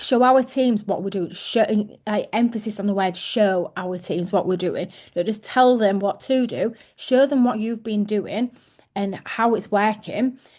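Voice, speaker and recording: A woman speaks with an English accent in a fairly high pitch. Her pace is fairly slow, with ordinary pitch variation. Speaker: team leader. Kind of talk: team training call.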